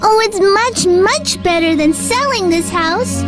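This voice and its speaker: In a put-on character voice, a woman speaks at a fairly slow pace with an extremely high, squeaky pitch over loud music in the background. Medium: machinima.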